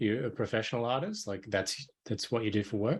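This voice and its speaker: Ordinary pitch variation from a man in an Australian accent. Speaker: podcast host. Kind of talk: podcast interview.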